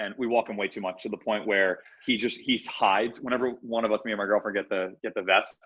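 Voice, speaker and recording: A man with a fairly low pitch talks at a fairly quick pace in a monotone, flat intonation. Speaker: startup CEO. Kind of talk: casual interview chat. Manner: loud; speaking lower than usual.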